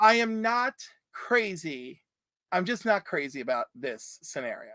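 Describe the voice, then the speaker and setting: The speaker moves at a fairly slow pace. The recording is very clean, with a silent background. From Puerto Rican heritage, upstate New York. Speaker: comics YouTuber, guest co-host. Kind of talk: casual chat. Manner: loud; animated.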